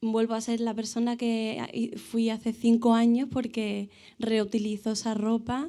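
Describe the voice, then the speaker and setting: Her fairly high voice has a dark, mellow tone as the woman speaks at a fairly slow pace with monotone, flat intonation. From Seville, Andalusia, Spain. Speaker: audience member. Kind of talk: audience question and comment. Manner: halting, many fillers.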